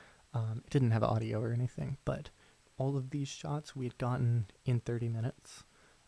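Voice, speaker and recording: Soft-spoken and somewhat breathy, a man speaks at a medium pitch and a fairly quick pace, his dark, mellow tone relaxed and his intonation fairly even, in a dry, close sound with no echo. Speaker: ASMR creator and film student/director. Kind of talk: casual talk to camera, soft-spoken ramble. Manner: soft-spoken, relaxed.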